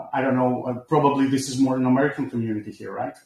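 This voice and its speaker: This man's voice is somewhat breathy and medium in pitch, with fairly even intonation. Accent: Greek. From Greece. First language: Greek. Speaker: crypto project developer. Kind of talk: online community presentation. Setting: online voice chat from home computer. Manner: halting.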